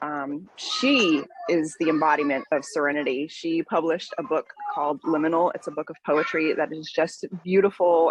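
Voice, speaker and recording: With noticeable noise behind her, a woman speaks in a very deep, low pitch. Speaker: business networking participant. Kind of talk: casual chat.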